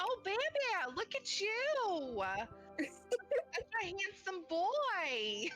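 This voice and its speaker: With clear music in the background, a woman uses a put-on character voice at an extremely high pitch and a very slow pace. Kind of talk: baby talk, tender. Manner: cooing, sweet.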